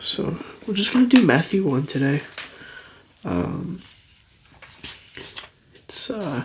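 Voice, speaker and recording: A soft-spoken voice moves at a very slow pace with long, frequent pauses and very wide pitch swings. Noticeable background noise runs underneath. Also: man, high pitch for a man. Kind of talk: casual talk to camera.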